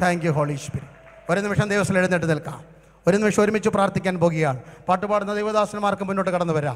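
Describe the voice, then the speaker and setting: This man has a high pitch. His pitch variation is ordinary. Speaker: pastor. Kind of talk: sermon. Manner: animated. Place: stage. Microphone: handheld.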